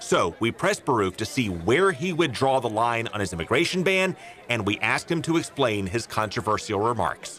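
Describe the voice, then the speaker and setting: A man at a moderate pace, with very wide pitch swings, very even loudness, and music in the background. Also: medium pitch for a man. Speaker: TV news host. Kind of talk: news narration; TV interview. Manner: pressing.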